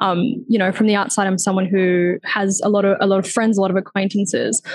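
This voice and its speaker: Somewhat breathy, a woman speaks with an Australian accent and fairly even intonation. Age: 20s. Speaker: lived experience advisor. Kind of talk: panel discussion. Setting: video call.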